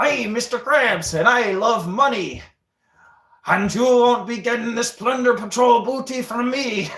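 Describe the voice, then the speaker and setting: A put-on character voice comes through at a fairly high pitch and a moderate pace. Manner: gruff, money-loving.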